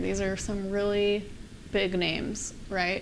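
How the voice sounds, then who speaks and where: A woman with a West Coast US accent speaks at a fairly slow pace. Her medium-pitched voice stays monotone and flat. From Oregon, USA. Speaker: software developer. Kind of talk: conference talk. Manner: casual, conversational.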